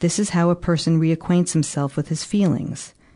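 A woman speaks with a dark, mellow tone and fairly low pitch. Her pace is fairly quick, and the background is quiet. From US, New York City. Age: 50s. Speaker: psychotherapist and author. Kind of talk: interview; reading aloud.

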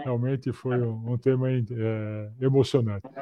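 A man at medium pitch, talking at a very slow pace. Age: 60s. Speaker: professor, maintenance management expert. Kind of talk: casual chat. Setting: video call. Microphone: clear audio despite poor video.

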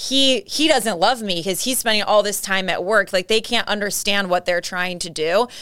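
With an American accent, a woman speaks at a medium pitch and a moderate pace, with hardly any pauses. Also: ordinary pitch variation. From San Diego, California. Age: 20s. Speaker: title insurance rep, former college soccer player. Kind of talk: casual interview.

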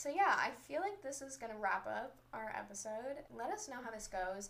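A woman speaks at a high pitch. Room echo is audible. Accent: American. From Southern California. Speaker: college student podcaster. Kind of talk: casual chat. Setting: bedroom, recorded on a laptop. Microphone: laptop mic.

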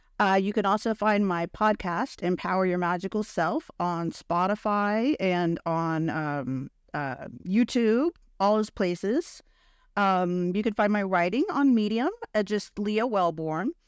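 A woman with an unremarkable speaking voice, medium in pitch, talks at a fairly slow pace with lively intonation on a very clean recording with a silent background. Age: 50s. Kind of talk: interview.

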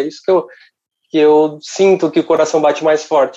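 This man's tone is dark and mellow. He talks at a moderate pace. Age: 30s. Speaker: rock singer in a tribute band. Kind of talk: casual interview chat. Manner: halting.

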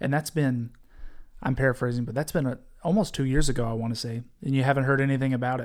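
Talking very fast, a man holds a medium pitch with fairly even intonation. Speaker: podcast host. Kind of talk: podcast interview.

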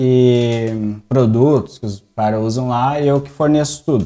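Speaking at a very slow pace, a man keeps a medium pitch with ordinary variation. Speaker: barbershop owner. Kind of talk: casual chat. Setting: barbershop studio.

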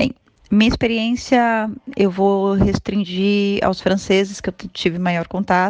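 In a Brazilian accent, a woman speaks at a fairly slow pace with a medium pitch and fairly even intonation. The sound is dry and close, with no echo. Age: 30s. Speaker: immigrant. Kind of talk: testimony. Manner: formal.

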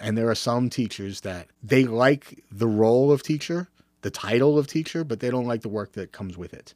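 A man uses a normal speaking voice at medium pitch and a moderate pace, with ordinary pitch variation and big swings in loudness. The recording is very clean, with a silent background. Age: 50s. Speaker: teacher and football coach. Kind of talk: solo podcast monologue. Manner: casual, with filler words.

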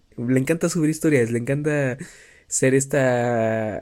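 This is an unremarkable speaking voice with fairly even intonation. It comes on a very clean recording with a silent background. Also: man. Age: 20s. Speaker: podcaster and content creator. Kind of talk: casual monologue. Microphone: new mic propped up on pencils.

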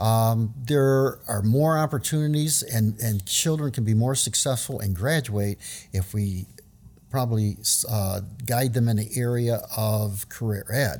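A man with an American accent speaks at a fairly slow pace in a medium pitch, somewhat breathy, with ordinary pitch variation and very even loudness. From US South, New Orleans. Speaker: retiring school district educator. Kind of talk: casual interview.

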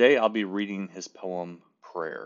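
This is a normal speaking voice. Its pitch varies in an ordinary way. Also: man. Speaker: podcast host. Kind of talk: poem reading. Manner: slow, measured, reverent.

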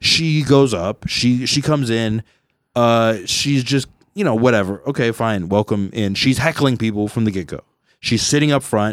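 Heard in an unremarkable speaking voice, the speech moves at a moderate pace with ordinary pitch variation. The recording is very clean, with a silent background. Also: man, medium pitch for a man. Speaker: podcast host. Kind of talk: casual comedic banter. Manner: rambling, jokey, filler-heavy.

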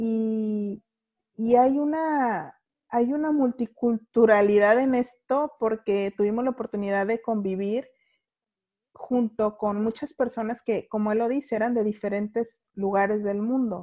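A woman with a Guadalajara accent speaks at a fairly slow pace and a fairly high pitch, in a dark, mellow tone. The sound is dry and close, with no echo. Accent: Guadalajara sing-song. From Mexico, Guadalajara. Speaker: podcast host. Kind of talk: casual interview chat. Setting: video call.

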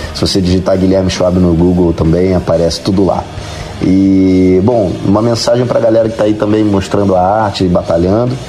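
A man speaks at a fairly quick clip in a very deep, low voice, with fairly even intonation and very even loudness. Noticeable background noise and audible room echo fill the recording. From Rio de Janeiro, Brazil. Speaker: musician. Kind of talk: interview.

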